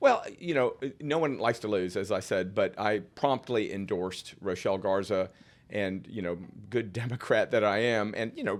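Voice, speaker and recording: A man talks at a moderate pace with ordinary pitch variation in an unremarkable speaking voice. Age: 60s. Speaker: political candidate and lawyer. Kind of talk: podcast interview. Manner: casual, with many fillers and restarts.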